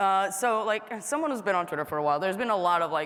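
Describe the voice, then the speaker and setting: A woman at medium pitch with very wide pitch swings and audible room echo. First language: not English. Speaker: panel moderator. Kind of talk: panel discussion. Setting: stage with audience. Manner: casual, filler-heavy.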